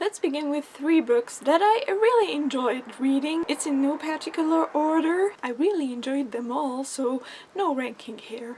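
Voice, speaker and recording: With a high pitch and lively intonation, a woman talks with hardly any pauses while noticeable background noise fills the recording. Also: moderate pace. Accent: French. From France. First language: French. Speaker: book vlogger. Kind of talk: casual book review vlog.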